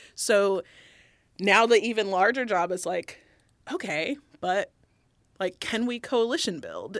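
A woman with a normal speaking voice talks at a fairly slow pace with ordinary pitch variation, recorded very cleanly against a silent background. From US South. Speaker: diversity and inclusion director. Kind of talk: casual chat.

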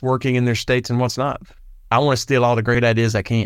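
On a very clean recording with a silent background, a man talks at a medium pitch. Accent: Southern US. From Arkansas, US South. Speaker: state legislator, retired state patrol. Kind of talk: interview clip.

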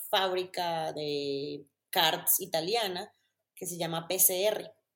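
A woman speaks with ordinary pitch variation. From Colombia, Medellín. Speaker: content creator and former racing driver. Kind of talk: casual interview.

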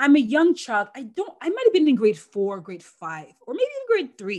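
A woman's somewhat breathy voice moves through very wide pitch swings. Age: 40s. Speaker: former Olympic athlete and sports broadcaster. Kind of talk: interview, personal storytelling.

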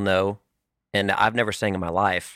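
Recorded very cleanly against a silent background, a man with an American accent speaks at a fairly low pitch, the sound dry and close with no echo. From California. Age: 30s. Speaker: country musician. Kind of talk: casual chat.

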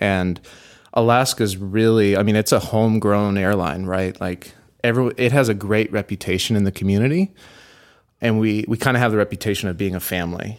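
Speaking in a plain, everyday voice with an American accent, a man talks at a fairly low pitch and fairly quick pace with fairly even intonation, on a very clean recording with a silent background. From Texas, Houston. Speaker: product designer. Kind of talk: casual interview chat. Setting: studio, in person.

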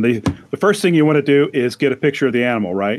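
A man talks at a very fast pace. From St. Louis suburbs, Missouri. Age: 60s. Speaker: retired university employee, podcaster. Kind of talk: casual chat.

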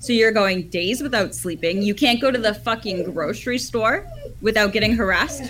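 Amid noticeable background noise, a woman with a Canadian accent speaks at a moderate pace in a fairly high pitch with ordinary pitch variation. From Ottawa, Canada. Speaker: caller. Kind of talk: heated debate. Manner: angry.

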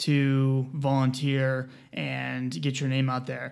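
A man speaks with an American accent. His pitch is fairly high. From US South, South Carolina. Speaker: pharmacist. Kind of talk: casual chat. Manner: fast talker.

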